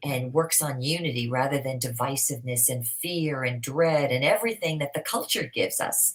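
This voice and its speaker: A woman with a very deep, low pitch talks at a moderate pace with hardly any pauses, over noticeable background noise. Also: ordinary pitch variation. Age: 60s. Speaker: motivational speaker. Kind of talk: interview.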